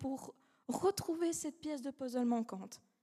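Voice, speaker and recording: A woman with a non-native accent speaks at a moderate pace in a high pitch with ordinary pitch variation. Her tone is dark and mellow. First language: not French (speaking French). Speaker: law student, eloquence contest finalist. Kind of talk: speech contest oration. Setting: stage with audience. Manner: halting, self-correcting.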